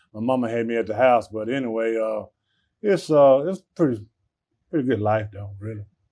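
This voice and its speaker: Against a quiet background, a man talks at a moderate pace with an Alabama accent. His tone is dark and mellow, at a medium pitch with ordinary pitch variation. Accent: Southern US, Alabama. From US South, Birmingham, Alabama. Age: 60s. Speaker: airline ramp agent. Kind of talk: interview. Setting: break room at airport. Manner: halting.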